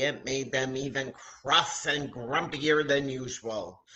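A woman speaks slowly, her pitch extremely low and her tone fairly bright. Audible room echo surrounds her voice.

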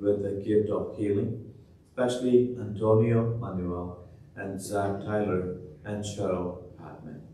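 A man talks at a fairly slow pace in a fairly low pitch with a dark, mellow tone, fairly even intonation and some breathiness. Light background noise and audible room echo are present. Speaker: priest celebrating Mass. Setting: church, livestreamed Mass. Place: church.

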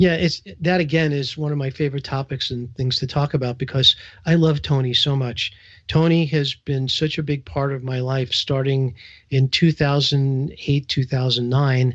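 Somewhat breathy and fairly even in intonation, a man talks with a New York accent. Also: fairly high pitch for a man, moderate pace. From New York, Brooklyn. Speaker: entrepreneur, business coach. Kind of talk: radio interview. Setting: radio show.

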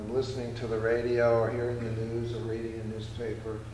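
A man's speech comes with audible room echo over light background noise. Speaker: performance poet. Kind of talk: poetry reading. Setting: live library performance. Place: hall. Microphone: camera far.

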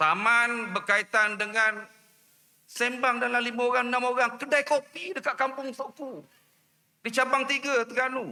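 Raising and projecting his voice, a man talks at a fairly slow pace in an extremely high pitch with ordinary variation. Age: 50s. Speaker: politician. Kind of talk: political rally speech. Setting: outdoor rally with audience. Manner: animated.

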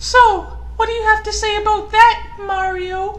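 The speaker uses a put-on character voice. Its pitch is extremely high. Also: moderate pace.

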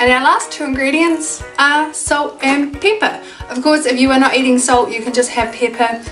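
Over clear music in the background, a woman with a New Zealand accent speaks at a moderate pace, her high pitch carrying lively intonation. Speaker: cooking channel host. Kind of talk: casual cooking tutorial to camera. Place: home room. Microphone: camera far.

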